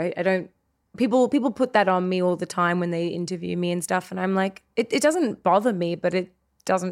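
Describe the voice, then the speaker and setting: A woman's medium-pitched voice, fairly quick, with ordinary pitch variation, on a very clean recording with a silent background. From Australia. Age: 30s. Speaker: actor. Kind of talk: casual interview chat.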